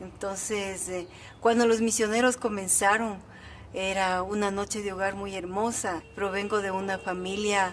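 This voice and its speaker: This woman's delivery is monotone, with flat intonation. Room echo is audible around her voice. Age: 60s. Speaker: church member interviewee. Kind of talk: testimony.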